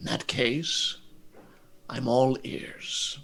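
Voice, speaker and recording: A man puts on a character voice at a medium pitch. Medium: actual play. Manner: genteel, measured, faintly condescending.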